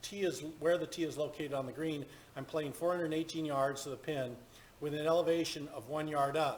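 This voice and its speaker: Speaking at a fairly quick pace, a man has a fairly high pitch and ordinary pitch variation. His is an unremarkable speaking voice. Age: 50s. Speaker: golf simulator streamer. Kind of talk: live gameplay tutorial. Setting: home golf simulator booth.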